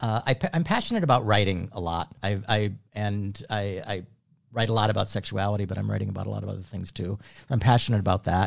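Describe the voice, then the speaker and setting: A man talks at a very fast pace with a fairly low pitch, ordinary pitch variation and vocal fry. The recording is very clean, with a silent background. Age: 60s. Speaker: activist and writer. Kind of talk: casual chat.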